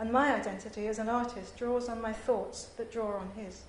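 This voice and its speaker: A woman's fairly high-pitched voice with audible room echo and noticeable background noise. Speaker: visual artist giving academic paper. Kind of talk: conference paper reading. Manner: formal.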